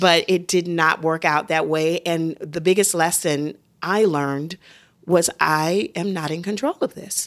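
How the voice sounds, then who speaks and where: A woman speaks at a fairly low pitch with fairly even intonation. Her pace is fairly slow. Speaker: Broadway actress and mom. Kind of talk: casual chat. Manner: loud.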